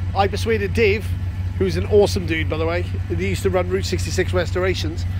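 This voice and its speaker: A man speaks at a fairly quick pace in a very deep, low pitch. The sound is dry with no echo, with light background noise. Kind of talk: casual vlog chat. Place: garden. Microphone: phone near.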